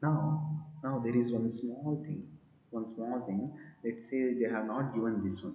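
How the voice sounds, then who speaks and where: Audible room echo surrounds a man at a medium pitch. He speaks at a fairly slow pace with ordinary pitch variation. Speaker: physics teacher. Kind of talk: lecture. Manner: quiet.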